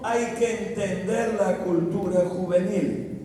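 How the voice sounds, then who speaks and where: Speech comes at a very slow pace with audible room echo. Noticeable background noise runs underneath. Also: man. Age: 80s+. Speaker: pastor. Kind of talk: sermon.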